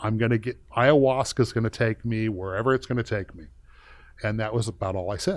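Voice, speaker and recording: Big swings in loudness mark this fairly quick delivery with ordinary pitch variation, captured in a very clean recording with a silent background. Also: man, medium pitch for a man. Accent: American. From US West, East Los Angeles. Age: 60s. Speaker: former SWAT officer and entrepreneur. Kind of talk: podcast interview, personal storytelling. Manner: casual, with frequent fillers and restarts.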